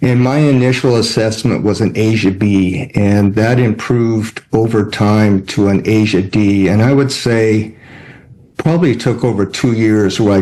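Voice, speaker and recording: At a fairly slow pace, a man with a normal speaking voice talks at a fairly low pitch, with fairly even intonation and very even loudness. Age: 60s. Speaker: spinal cord injury patient. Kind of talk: testimony. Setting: video call.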